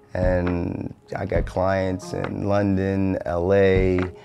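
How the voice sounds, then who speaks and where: A man with an American accent speaks in a very deep, low voice with monotone, flat intonation over noticeable background noise. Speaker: fitness coach. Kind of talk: personal story interview. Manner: frequent fillers (um, uh).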